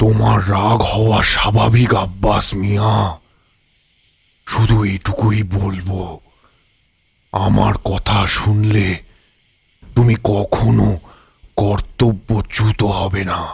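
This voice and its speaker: A man puts on a character voice at a fairly low pitch. He speaks very slowly in a monotone, flat delivery. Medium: audio drama. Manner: calm, measured.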